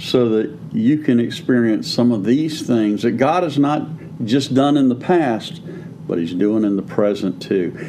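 In a normal speaking voice, a man talks at a fairly slow pace and medium pitch with lively intonation. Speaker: pastor and podcast co-host. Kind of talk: preaching-style teaching conversation.

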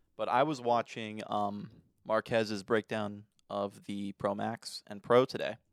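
In a very clean recording with a silent background and a dry, close sound with no echo, a man with a plain, everyday voice speaks at a fairly slow pace and fairly low pitch, his intonation fairly even but with big swings in loudness. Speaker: podcast co-host. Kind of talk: casual chat.

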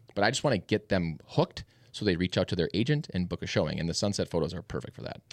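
Rushing at a very fast pace, this voice uses an American accent with vocal fry and very wide pitch swings. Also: man, very deep, low pitch for a man. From Minnesota, Minneapolis suburbs. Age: 30s. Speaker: real estate agent and team leader. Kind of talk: casual chat.

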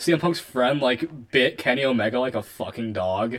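Pitched in a man's medium range, this is an unremarkable speaking voice. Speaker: podcast co-host. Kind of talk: casual chat. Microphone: two mics on, poor audio.

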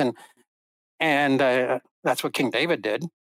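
A man speaks at a moderate pace in a normal speaking voice with ordinary pitch variation, recorded very cleanly against a silent background with a dry, close sound and no echo. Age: 60s. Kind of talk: interview conversation.

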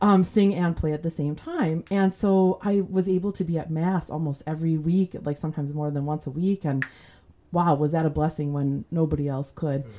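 A woman with an American accent speaks at a moderate pace in a fairly low pitch. Her tone is dark and mellow, with ordinary pitch variation. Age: 40s. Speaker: church musician and singer. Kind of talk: casual interview chat.

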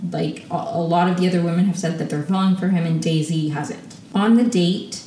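The recording carries audible room echo. A woman speaks with a fairly low pitch. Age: 20s. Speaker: solo podcast host reviewing reality TV. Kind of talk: casual solo recap monologue. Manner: animated.

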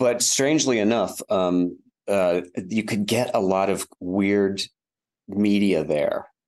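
Speaking very slowly with an American accent, a man uses a fairly low pitch, ordinary pitch variation and very even loudness. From West Virginia, Wheeling. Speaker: media publisher and filmmaker. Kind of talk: interview conversation. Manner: halting.

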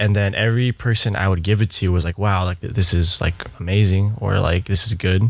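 Fairly low in pitch, this man's voice moves at a fairly quick pace with monotone, flat intonation. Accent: American. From US West Coast, Bay Area. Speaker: coffee and event company founder. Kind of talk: casual interview chat.

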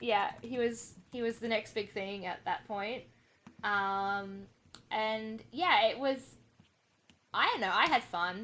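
Bright and sharp in tone, the voice moves at a very slow pace with long, frequent pauses, ordinary pitch variation and an Australian accent. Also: woman, fairly high pitch for a woman. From Australia, New South Wales. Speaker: tennis forum moderator and fan. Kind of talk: casual podcast chat.

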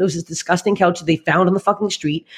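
A woman with a Canadian accent speaks in an animated tone at a medium pitch. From Canada, Toronto. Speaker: stand-up comedian. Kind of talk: casual chat.

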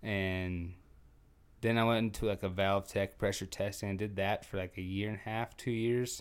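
In a very clean recording with a silent background, a man speaks at a moderate pace, fairly low in pitch and monotone and flat in intonation. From North Dakota (Trenton, near Williston). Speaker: former professional bull rider. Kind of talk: casual interview conversation.

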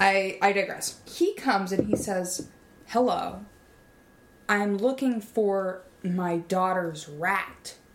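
The speech comes at a very slow pace with ordinary pitch variation. Noticeable background noise is present. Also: woman, medium pitch for a woman. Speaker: podcast host. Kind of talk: scripted comedy podcast, casual banter.

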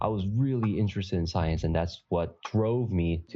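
A man's pitch varies in an ordinary way as he talks fairly quickly, with music in the background. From Canada, Toronto. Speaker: podcast co-host, physician in pharmaceuticals. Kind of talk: casual interview chat.

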